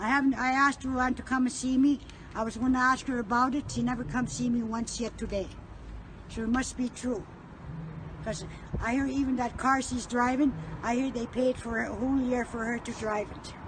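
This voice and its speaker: A woman with a high pitch talks at a fairly quick pace in a monotone, flat intonation against noticeable background noise. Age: 70s. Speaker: Métis elder. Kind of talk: recorded testimony.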